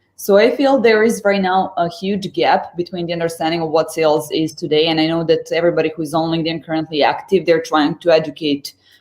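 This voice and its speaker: A woman with a slight Serbian accent, fairly low-pitched, talking at a very fast pace. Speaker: sales executive. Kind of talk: interview. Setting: live stream. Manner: halting.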